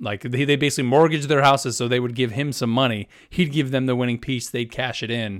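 This is a very clean recording with a silent background. A man talks at a very fast pace. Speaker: podcast host. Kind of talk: casual chat.

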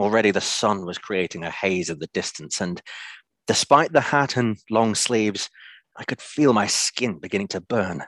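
A man with a normal speaking voice talks at a moderate pace and a fairly low pitch with lively intonation. The sound is dry and close with no echo, against a quiet background. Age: 30s. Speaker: story reader. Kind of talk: reading aloud.

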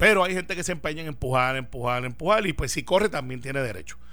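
A man's medium-pitched voice with vocal fry, a bright, sharp tone, very wide pitch swings and a very fast pace. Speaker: senator. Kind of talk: political radio panel discussion.

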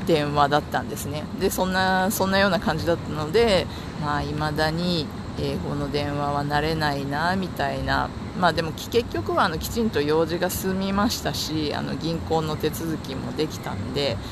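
Over noticeable background noise and audible room echo, a man speaks in a relaxed tone. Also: fairly high pitch for a man, ordinary pitch variation, moderate pace. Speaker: podcaster. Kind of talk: casual monologue. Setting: outdoors walking to the office. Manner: relaxed, frequent laughter.

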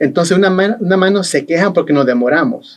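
Here a man speaks at a very fast pace. His pitch is high. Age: 50s. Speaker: election board official. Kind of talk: interview. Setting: studio.

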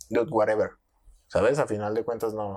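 A man is heard on a very clean recording where the background is silent. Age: 20s. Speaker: podcast host. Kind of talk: casual chat. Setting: studio.

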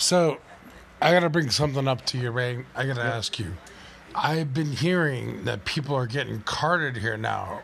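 This man has an ordinary speaking voice. He talks at a moderate pace with medium pitch and ordinary pitch variation. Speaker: podcast host. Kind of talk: casual chat. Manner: profane, joking.

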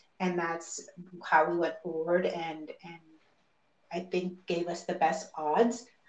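A woman speaks very slowly in a flat monotone, pitched fairly low, with long, frequent pauses. Room echo is audible. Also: big swings in loudness. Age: 40s. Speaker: mother going through IVF. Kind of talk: interview.

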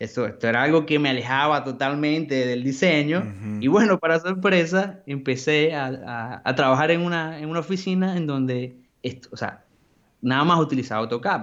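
In an unremarkable speaking voice, a man talks at a moderate pace, fairly high in pitch, with ordinary pitch variation. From Venezuela, Maracaibo. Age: 20s. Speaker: graphic designer. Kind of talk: casual interview.

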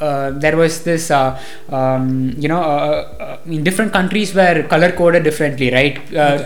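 A man with a Tamil Nadu accent and a fairly high pitch at a fairly slow pace, ordinary pitch variation, noticeable background noise, and audible room echo. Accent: Tamil Indian English. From India, Coimbatore, Tamil Nadu. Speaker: university student. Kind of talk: casual chat. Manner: hesitant, many fillers.

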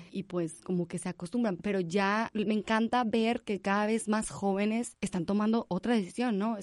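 A woman speaks at a moderate pace. Her voice sits fairly high, with ordinary pitch variation. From Monterrey, Nuevo León, Mexico. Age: 20s. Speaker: animal rescue founder. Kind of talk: interview. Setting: studio.

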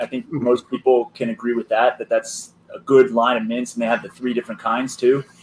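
This man has a plain, everyday voice, talking at a fairly quick clip with ordinary pitch variation. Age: 20s. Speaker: hose maker. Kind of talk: casual chat.

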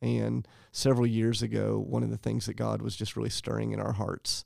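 A man talks at a moderate pace with an American accent. The recording is very clean, with a silent background. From US South, Charleston, South Carolina. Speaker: pastor. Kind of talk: interview.

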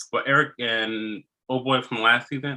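A man's medium-pitched, normal speaking voice, ordinary in its pitch variation. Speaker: podcast host. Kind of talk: casual chat.

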